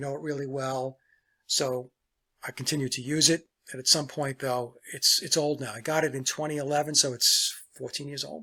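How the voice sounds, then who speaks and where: A man's fairly high voice at a fairly quick pace, relaxed in tone, with monotone, flat intonation and big swings in loudness, on a very clean recording with a silent background. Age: 60s. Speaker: musician and songwriter. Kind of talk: casual talk to camera. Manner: relaxed, with frequent fillers.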